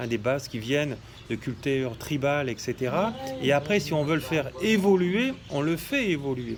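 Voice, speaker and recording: A man talks at a moderate pace with lively intonation. His pitch is fairly high. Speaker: shamanism teacher and healer. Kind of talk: monologue video talk. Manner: hesitant, many fillers.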